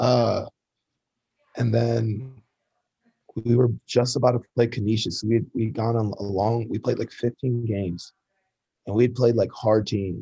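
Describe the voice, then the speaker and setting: In an American accent, a man with a dark, mellow tone and medium pitch speaks fairly slowly, somewhat breathy and flat in a monotone, with long, frequent pauses. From Ann Arbor, Michigan, US Midwest. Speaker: minor league baseball player. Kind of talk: casual interview.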